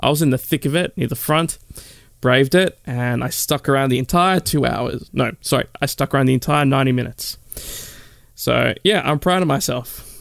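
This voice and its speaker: Recorded very cleanly against a silent background with a dry, close sound with no echo, a man with an Australian accent speaks at a fairly quick pace and a fairly high pitch with ordinary pitch variation. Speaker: podcast host and radio presenter. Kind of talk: casual chat. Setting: studio.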